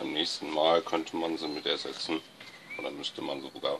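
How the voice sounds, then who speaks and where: Noticeable background noise is present. The man's delivery is very slow. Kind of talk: tutorial. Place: garage. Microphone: phone near.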